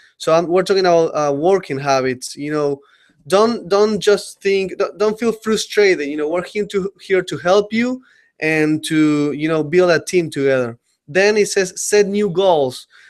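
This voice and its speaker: Speaking at a fairly slow pace, a man with a strong Uruguayan accent has a high pitch. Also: ordinary pitch variation. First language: Spanish. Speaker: company trainer presenting to staff. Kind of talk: webinar presentation. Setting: online webinar. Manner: halting, many fillers.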